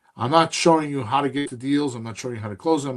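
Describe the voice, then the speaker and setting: A man in an ordinary speaking voice talks at medium pitch with ordinary pitch variation. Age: 60s. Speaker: real estate investing podcast host and coach. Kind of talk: casual mentoring chat.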